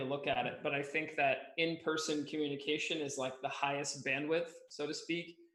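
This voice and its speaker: In a room with audible echo, a man with an American accent speaks fairly quickly at a fairly high pitch, his intonation monotone and flat. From United States. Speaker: agency founder, Amazon advertising expert. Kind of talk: webinar interview.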